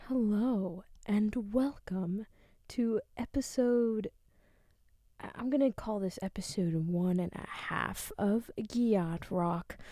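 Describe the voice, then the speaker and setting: Soft-spoken and very slow, a woman talks at a medium pitch in a dark, mellow tone. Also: ordinary pitch variation. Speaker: podcast host; music graduate. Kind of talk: soft-spoken thesis reading.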